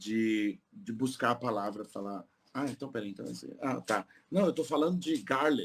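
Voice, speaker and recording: A plain, everyday voice, a man's at a medium pitch, moves at a moderate pace with lively intonation. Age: 50s. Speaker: polyglot tour guide. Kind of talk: podcast interview.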